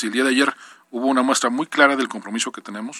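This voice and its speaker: A man's voice comes through a very clean recording with a silent background and a dry, close sound with no echo. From Mexico, Puebla. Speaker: state government official. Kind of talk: radio interview. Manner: halting, repeats words.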